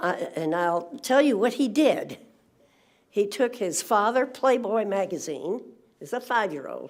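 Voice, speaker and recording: A woman's voice swings through a very wide pitch range. The recording is very clean, with a silent background. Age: 80s+. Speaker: public commenter. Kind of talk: public comment at board meeting. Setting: school board meeting room. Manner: halting.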